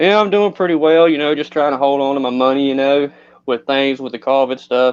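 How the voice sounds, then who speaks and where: Someone speaks with a Southern US accent. The pace is fairly quick. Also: man, fairly high pitch for a man, ordinary pitch variation. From North Carolina, Eden. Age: 20s. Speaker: person in recovery. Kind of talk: personal testimony.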